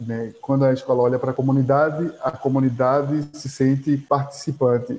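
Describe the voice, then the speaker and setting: This man has a fairly high pitch and a dark, mellow tone that is somewhat breathy, with fairly even intonation. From Pernambuco, Brazil (Agreste, São Vicente Ferrer). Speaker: historian and heritage researcher. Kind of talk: interview.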